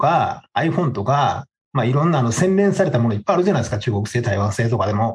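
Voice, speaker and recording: This man talks very fast in a somewhat breathy voice, his pitch swinging very widely. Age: 50s. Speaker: podcast co-host. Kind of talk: casual chat. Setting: video call.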